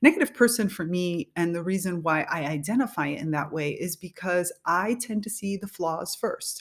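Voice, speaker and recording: A woman speaks at medium pitch and a moderate pace with lively intonation and hardly any pauses. The recording is very clean, with a silent background. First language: Spanish. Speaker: podcast host and leadership coach. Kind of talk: solo podcast monologue.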